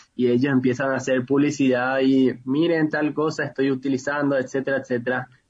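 Speaking at a moderate pace, a man keeps a medium pitch and a monotone, flat intonation. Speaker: youth leader. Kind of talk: interview.

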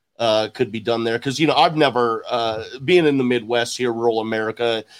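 A man with a slight Southern accent at a medium pitch, fairly quick pace and ordinary pitch variation, in a very clean recording with a silent background. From Houston, Texas. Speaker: podcast host. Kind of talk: interview.

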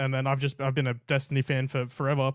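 His pitch sits fairly high. He is a man speaking with an Australian accent. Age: 20s. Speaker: gaming streamer. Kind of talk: casual chat. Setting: room with LED lights.

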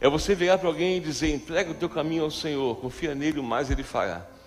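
A man speaks at a very fast pace. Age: 40s. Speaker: pastor. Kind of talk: sermon. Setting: church.

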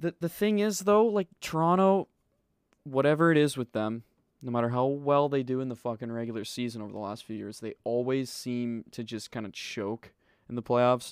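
On a very clean recording with a silent background, a man with a Canadian accent and an unremarkable speaking voice talks at medium pitch and a moderate pace with lively intonation, the sound dry and close with no echo. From British Columbia, Canada. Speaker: podcast host. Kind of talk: casual chat.

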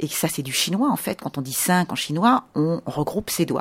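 In a normal speaking voice, a woman talks at a moderate pace with a fairly low pitch and lively intonation. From France. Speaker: tour guide. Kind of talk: interview. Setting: in a house.

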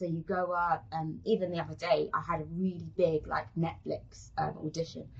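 With a London accent, a woman speaks at a moderate pace with hardly any pauses. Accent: London British English. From South London, England. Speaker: actress. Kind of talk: casual interview.

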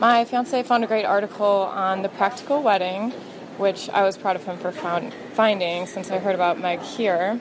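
With noticeable background noise, a woman speaks at a medium pitch and a moderate pace, her pitch varying in an ordinary way. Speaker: caller, bride-to-be. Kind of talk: voicemail message.

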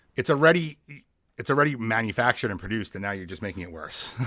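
Bright and sharp in tone, a man with an American accent uses very wide pitch swings. The recording is very clean, with a silent background. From New York, Long Island. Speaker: podcast host. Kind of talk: casual chat.

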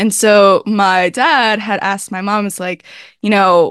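In a normal speaking voice, a woman talks at a fairly slow pace and medium pitch with fairly even intonation, the sound dry and close with no echo against a quiet background. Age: 20s. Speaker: online content creator and entrepreneur. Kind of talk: interview. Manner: casual, filler-heavy speech.

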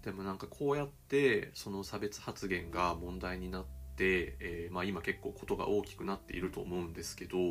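A man with a very deep, low voice speaks at a moderate pace. His intonation is lively, with music in the background. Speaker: writer and podcast host. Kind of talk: casual solo talk.

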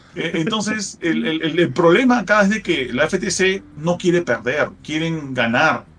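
A man with a high pitch speaks at a very slow pace yet with hardly any pauses, against noticeable background noise. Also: lively intonation. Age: 40s. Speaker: gaming podcast co-host. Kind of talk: casual chat.

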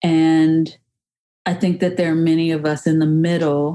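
Speaking with an American accent, a woman uses a fairly low pitch and a dark, mellow tone. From US South, rural Georgia north of Atlanta. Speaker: reproductive justice advocate and consultant. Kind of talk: personal testimony narration.

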